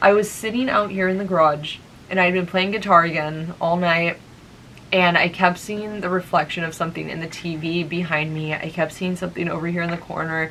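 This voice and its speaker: Over noticeable background noise and audible room echo, a woman with fairly low pitch talks at a fairly quick pace with fairly even intonation. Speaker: vlogger. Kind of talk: casual vlog storytelling. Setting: garage.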